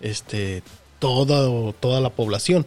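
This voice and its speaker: A man speaks at a medium pitch in a somewhat breathy voice. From Mexico. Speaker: podcast co-host. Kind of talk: casual chat.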